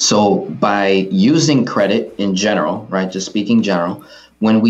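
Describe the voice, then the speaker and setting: This man has an ordinary speaking voice, fairly low in pitch, and talks at a moderate pace with an American accent. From Queens, New York. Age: 20s. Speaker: personal finance educator. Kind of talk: interview. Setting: studio.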